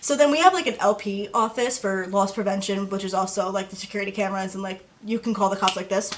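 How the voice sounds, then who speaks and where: Over noticeable background noise, a woman talks very fast in a medium-pitched voice with hardly any pauses. Her intonation stays fairly even. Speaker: YouTuber. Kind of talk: storytime vlog. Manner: casual.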